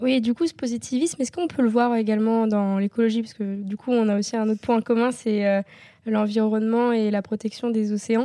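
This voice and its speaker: At a moderate pace, a woman speaks in a dark, mellow tone at a fairly high pitch with fairly even intonation, in a very clean recording with a silent background. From Normandy, France. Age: 20s. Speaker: student and equestrian athlete. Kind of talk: interview, asking questions. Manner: hesitant, many fillers.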